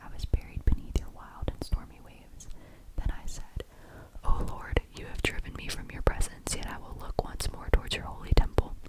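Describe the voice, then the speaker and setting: Someone is whispering at a moderate pace. Noticeable background noise sits behind the voice. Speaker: ASMR creator. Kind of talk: whispered scripture reading. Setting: close-mic studio recording.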